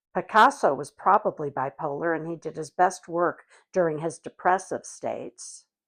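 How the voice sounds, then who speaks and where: Against a quiet background, a woman talks at a fairly slow pace with vocal fry. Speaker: actor. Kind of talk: interview answer.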